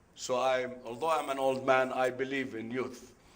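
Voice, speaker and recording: A man's voice rings with audible room echo. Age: 70s. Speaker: business executive, conference speaker. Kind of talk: conference talk. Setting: conference room with audience. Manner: halting, with many fillers.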